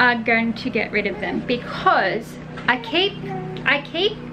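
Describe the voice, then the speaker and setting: A woman speaks in a fairly high voice. Noticeable background noise runs underneath. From Australia. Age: 30s. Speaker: mum vlogger. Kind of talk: casual talk to camera. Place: home room. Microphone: phone near.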